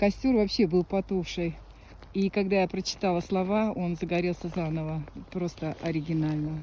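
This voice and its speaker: A woman with a fairly low, dark, mellow voice speaks at a moderate pace with fairly even intonation. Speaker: psychic healer performing rituals. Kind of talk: casual commentary during a filmed ritual.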